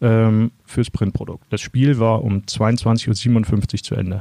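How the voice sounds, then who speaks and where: A man's fairly low voice with a dark, mellow tone, ordinary pitch variation, and a dry, close sound with no echo. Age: 30s. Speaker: sports journalist. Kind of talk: interview.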